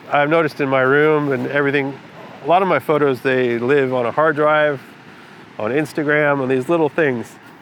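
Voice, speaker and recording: Noticeable background noise sits under the recording. A man speaks at a fairly high pitch. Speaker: photographer, vlogger. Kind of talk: casual vlog talk to camera. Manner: halting, many fillers.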